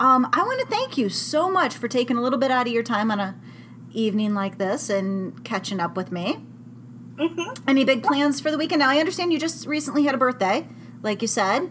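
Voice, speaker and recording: Lively, high-pitched female speech over noticeable background noise. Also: fairly quick pace. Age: 40s. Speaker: blog podcast host interviewing a fellow adult chat worker. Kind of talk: casual interview chat. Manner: giggly, laughs often.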